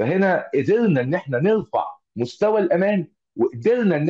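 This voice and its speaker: Dry and close with no echo, a man's high-pitched voice carries a dark, mellow tone and lively intonation. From Egypt. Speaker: automotive engineer and trainer. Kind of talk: online lecture. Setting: video call. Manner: halting, many filler sounds.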